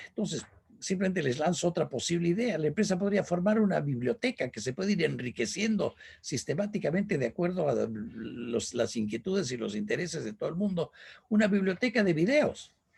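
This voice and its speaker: A man speaks in a high pitch at a fairly quick pace. His pitch swings very widely. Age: 70s. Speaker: business speaker. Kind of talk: lecture.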